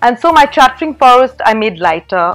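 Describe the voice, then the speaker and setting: Background music fills the track. Over it, a woman's voice can be heard. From England and Egypt. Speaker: children's book author. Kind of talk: interview answer. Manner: animated.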